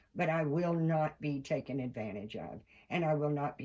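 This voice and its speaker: In an American accent, a woman speaks with a very deep, low pitch and ordinary pitch variation. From Kentucky. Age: 60s. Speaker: doll collector vlogger. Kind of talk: casual vlog monologue. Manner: animated.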